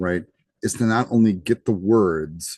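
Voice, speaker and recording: Someone with an American accent speaks with ordinary pitch variation, the sound dry and close with no echo against a quiet background. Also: man. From United States. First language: Greek. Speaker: college instructor. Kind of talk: lecture. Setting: live class session. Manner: casual, conversational with fillers.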